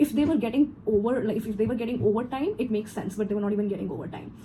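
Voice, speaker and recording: This woman speaks very fast in an animated tone, her fairly high pitch moving with ordinary variation. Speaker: corporate trainer. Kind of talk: personal story vlog.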